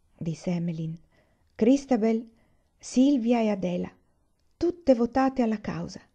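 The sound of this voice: Somewhat breathy and dark, mellow in tone, a woman speaks with a solemn, dramatic tone at a fairly high pitch, using lively intonation at a moderate pace. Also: long, frequent pauses.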